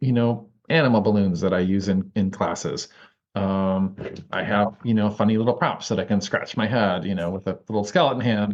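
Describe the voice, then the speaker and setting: A man with a fairly low pitch speaks with ordinary pitch variation. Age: 50s. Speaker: herbal educator. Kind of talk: casual chat. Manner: fast; animated.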